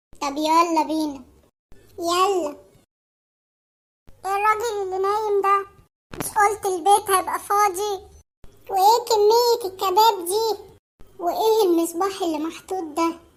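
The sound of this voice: A woman does a cartoonish character voice at an extremely high pitch with ordinary pitch variation. She speaks at a fairly slow pace with long, frequent pauses.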